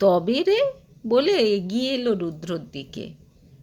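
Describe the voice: The voice delivers a plain reading aloud.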